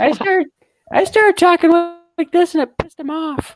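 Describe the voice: A squeaky, put-on character voice at an extremely high pitch, talking at a fairly quick pace.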